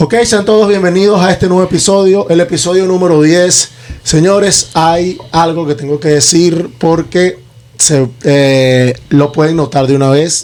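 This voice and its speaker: A man's high-pitched voice, fairly slow, with very even loudness and ordinary pitch variation. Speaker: podcast host. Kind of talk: casual podcast chat.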